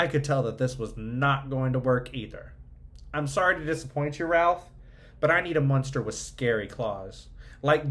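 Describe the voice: The clip consists of plain reading aloud.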